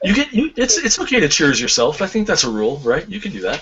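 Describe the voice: A man talks at a fast pace with very wide pitch swings and a fairly high pitch. His tone is fairly bright, with a husky, rough edge.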